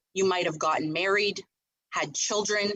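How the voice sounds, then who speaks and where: A woman's normal speaking voice at medium pitch, with ordinary pitch variation. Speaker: real estate team leader. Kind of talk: team meeting presentation.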